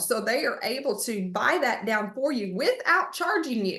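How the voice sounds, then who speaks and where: The speaker talks with a Texan accent, the pitch swinging very widely. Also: woman. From Texas, Splendora area. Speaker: real estate agent. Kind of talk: online market update presentation. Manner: fast.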